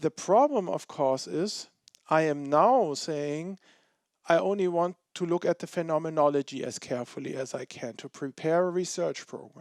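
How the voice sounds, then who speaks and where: A man speaks with a German accent at a moderate pace. His voice is fairly high, with ordinary pitch variation, in a very clean recording with a silent background. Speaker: philosophy professor. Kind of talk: Q&A after lecture.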